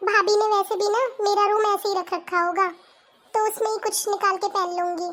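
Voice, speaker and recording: A woman does a cartoonish character voice at an extremely high pitch, talking fairly quickly in a flat monotone. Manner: soft, polite.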